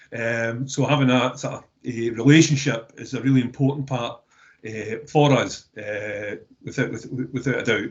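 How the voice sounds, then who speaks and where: A man with a Scottish accent speaks at a medium pitch and a moderate pace. His voice is somewhat breathy, and his intonation stays fairly even. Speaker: waste recycling business representative. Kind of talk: webinar discussion. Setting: online webinar. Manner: halting, many repeated words.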